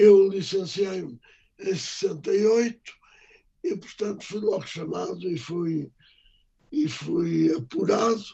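Pitched high, a man talks at a very slow pace with long, frequent pauses and lively intonation. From Portugal, Lisbon. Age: 80s+. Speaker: doctor and memoir author. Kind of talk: interview. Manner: halting.

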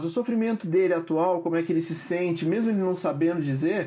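Moving at a fairly quick pace, a man with a Brazilian accent speaks with ordinary pitch variation. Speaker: psychoanalyst. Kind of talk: interview. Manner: hesitant, repeats words.

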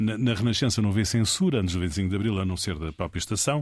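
At a fairly quick pace, a man talks in a fairly low, somewhat breathy voice. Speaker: political communication consultant. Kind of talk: interview. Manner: halting.

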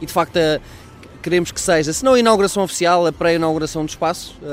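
Over noticeable background noise, a man speaks very fast in a high voice with ordinary pitch variation. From Portugal, Coimbra.

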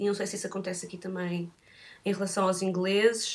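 Her pitch is medium, and this woman speaks with monotone, flat intonation. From Portugal. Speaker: photographer. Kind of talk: interview. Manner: halting.

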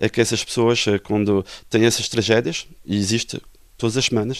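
At a moderate pace, a man with an ordinary speaking voice talks at medium pitch on a very clean recording with a silent background. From Portugal. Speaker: lawyer. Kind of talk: interview.

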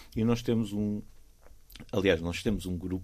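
This man speaks at a moderate pace. The variation in his pitch is ordinary. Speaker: volunteer beach clean-up organiser. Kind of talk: casual chat. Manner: animated; halting.

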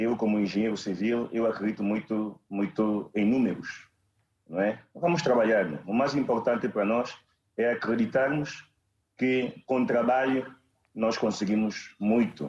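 A man talks at a fairly slow pace in a normal speaking voice. His medium pitch shows ordinary pitch variation. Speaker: campaign director. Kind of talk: televised political debate. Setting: video call.

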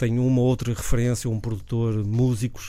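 A man's medium-pitched voice, dark and mellow, at a fairly quick pace with flat, monotone intonation. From northern Portugal (Leça da Palmeira). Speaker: record collector and DJ. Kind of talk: radio interview. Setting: radio studio.

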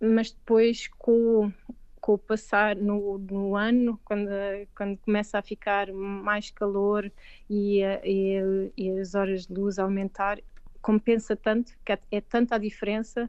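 A woman speaks very slowly in a flat monotone. She has a Lisbon accent. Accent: European Portuguese, Lisbon. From Portugal, Lisbon. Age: 40s. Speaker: veterinarian. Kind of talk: interview. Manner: halting, many repetitions.

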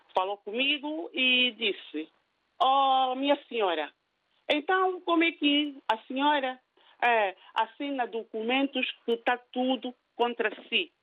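A woman speaks very slowly in a high pitch, her loudness very even. Her intonation is lively. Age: 50s. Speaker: caller, cook. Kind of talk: phone-in story. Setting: phone call.

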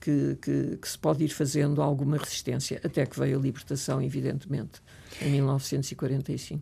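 Using a very deep, low pitch, a woman speaks at a moderate pace in a dark, mellow tone, flat and monotone, with vocal fry. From Portugal, Lisbon. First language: French (speaking Portuguese). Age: 70s. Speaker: retired professor and writer. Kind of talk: interview.

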